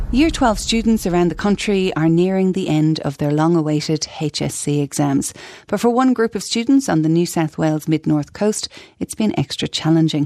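This woman's voice is fairly low, with a dark, mellow tone. She keeps a moderate pace and lively intonation. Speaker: radio presenter. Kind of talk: news presenting. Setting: studio.

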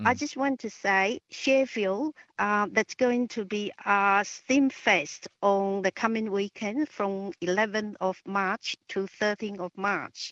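A woman speaks with a Chinese accent at medium pitch and with ordinary pitch variation. Her pace is very slow, with hardly any pauses. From China. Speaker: caller. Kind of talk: talkback phone call. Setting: phone call. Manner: halting, many fillers.

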